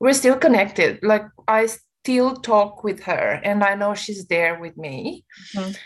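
With a Romanian accent, a woman speaks at a moderate pace and a medium pitch, her intonation lively. The recording is very clean, with a silent background. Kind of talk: casual interview.

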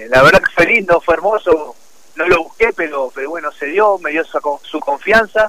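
A man speaks at a high pitch with lively intonation. His loudness swings widely. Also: moderate pace, dry, close sound with no echo. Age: 30s. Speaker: professional football goalkeeper. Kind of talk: radio interview. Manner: hesitant, many repetitions.

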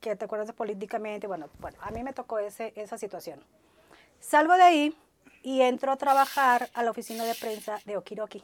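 The delivery is animated and fairly quick, with lively intonation and big swings in loudness, captured in a dry, close sound with no echo. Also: woman, fairly high pitch for a woman. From Ciudad Madero, Tamaulipas, Mexico. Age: 50s. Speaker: entertainment journalist. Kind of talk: interview.

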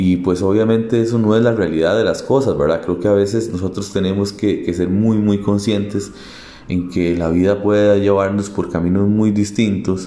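A man with a fairly low pitch talks at a moderate pace with very even loudness and fairly even intonation, plus audible room echo and noticeable background noise. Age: 30s. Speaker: podcaster. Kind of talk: personal monologue. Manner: halting.

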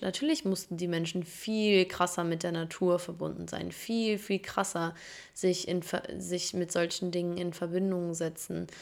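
The recording is very clean with a silent background, as a woman of medium pitch speaks at a fairly slow pace with ordinary pitch variation. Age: 20s. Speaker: podcast host. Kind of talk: casual solo monologue. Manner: casual, with fillers and laughter.

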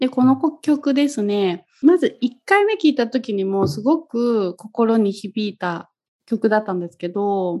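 Her tone dark and mellow, a woman speaks at a very slow pace with lively intonation. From Kagoshima, Japan. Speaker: yoga instructor, podcast co-host. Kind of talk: casual chat.

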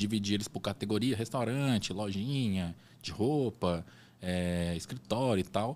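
This is an ordinary speaking voice. It goes at a fairly slow pace. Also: man, fairly low pitch for a man, ordinary pitch variation. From Brazil, raised mostly in Salvador, Bahia. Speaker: entrepreneur, designer. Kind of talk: interview, casual chat. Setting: studio podcast, event with people around.

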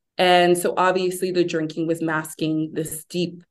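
Using a normal speaking voice, a woman talks at a moderate pace in a fairly low pitch. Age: 30s. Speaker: sober lifestyle advocate and founder. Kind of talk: interview about personal recovery.

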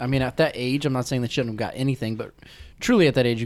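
In an American accent, the speaker talks at a very fast pace with fairly even intonation. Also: man. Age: 20s. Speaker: podcast host and sports announcer. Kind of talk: casual chat.

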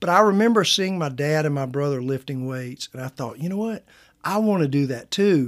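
Fairly quick and lively in intonation, a man with a slight Southern US accent speaks at a fairly high pitch in a very clean recording with a silent background. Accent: Southern US, slight twang. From US South Carolina. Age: 50s. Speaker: pastor. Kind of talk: casual interview.

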